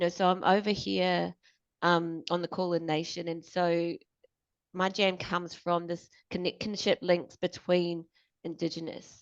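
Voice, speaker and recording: Her pitch fairly low, a woman speaks at a fairly slow pace in monotone, flat intonation. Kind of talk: panel discussion.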